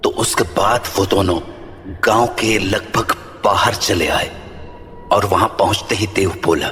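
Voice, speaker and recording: Putting on a character voice at a fairly low pitch, a man speaks at a moderate pace over clear background noise. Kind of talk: horror narration. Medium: audio drama. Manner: measured, suspenseful.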